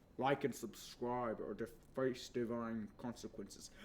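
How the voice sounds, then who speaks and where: A man does a put-on character voice at medium pitch and a fairly slow pace. Clear background noise runs behind him. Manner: booming, mock-threatening.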